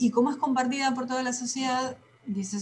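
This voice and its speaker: Here a woman speaks. Her voice is somewhat breathy. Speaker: teacher. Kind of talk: lecture. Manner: fast.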